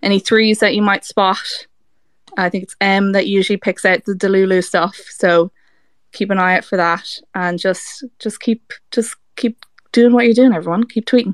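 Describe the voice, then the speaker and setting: In an Irish accent, a woman speaks at medium pitch with fairly even intonation in a dry, close sound with no echo. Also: moderate pace. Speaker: fan campaign organizer. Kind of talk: casual chat. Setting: audio chat room.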